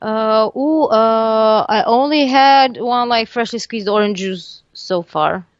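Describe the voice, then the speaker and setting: A woman with a Serbian accent speaks at a very slow pace, with hardly any pauses. Her pitch is fairly high, with ordinary pitch variation. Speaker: metal band lead singer. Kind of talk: casual interview. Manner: halting, many fillers and restarts.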